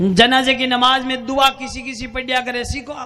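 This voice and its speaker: A man's raised, projected voice at an extremely high pitch, with noticeable background noise. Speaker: Islamic cleric. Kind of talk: humorous religious sermon.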